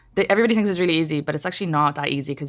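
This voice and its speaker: A woman with an Irish accent, fairly low in pitch, with ordinary pitch variation, on a very clean recording with a silent background. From Ireland, small town. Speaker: comedian. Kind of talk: podcast interview. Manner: casual, lots of fillers.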